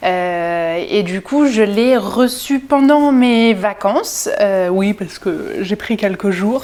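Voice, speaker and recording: A woman speaks very slowly. Her pitch is fairly high. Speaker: sewing youtuber. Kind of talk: casual vlog haul. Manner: hesitant, many fillers.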